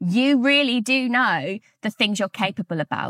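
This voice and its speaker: An energetic woman with a British accent and lively intonation at a moderate pace, her voice dry and close with no echo on a very clean recording with a silent background. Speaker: podcast host and author. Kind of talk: solo podcast monologue.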